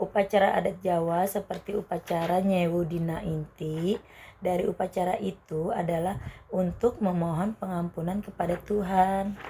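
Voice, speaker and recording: At a moderate pace, a woman of medium pitch talks with monotone, flat intonation. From Banyuwangi, East Java. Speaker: university student interviewee. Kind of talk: scripted school interview. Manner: formal.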